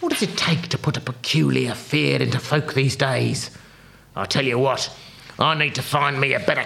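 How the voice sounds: The clip is read in a natural reading voice.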